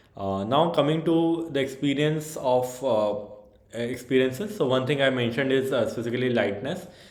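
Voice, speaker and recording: A man speaks at a moderate pace with medium pitch and ordinary pitch variation. Audible room echo and noticeable background noise surround him. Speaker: yoga practitioner vlogger. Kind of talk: personal testimony. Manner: hesitant, many fillers.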